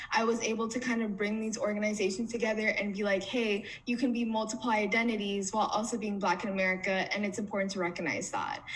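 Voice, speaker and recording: Fairly high-pitched woman's voice at a fairly quick pace, fairly even in intonation, with audible room echo. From US, Somali immigrant family. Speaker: community organizer. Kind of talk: panel interview.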